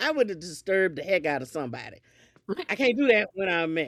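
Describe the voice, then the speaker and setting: A woman speaks with an animated tone. Her pitch sits in the medium range. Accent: Southern US. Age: 60s. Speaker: podcast guest. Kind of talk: casual chat.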